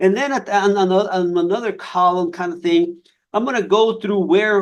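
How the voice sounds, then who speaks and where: A man with a Spanish accent and a high pitch talks at a moderate pace with lively intonation. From Nogales, Mexico/Arizona border. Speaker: fire scientist. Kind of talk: career talk on a webinar. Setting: online webinar. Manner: halting, many repetitions and fillers.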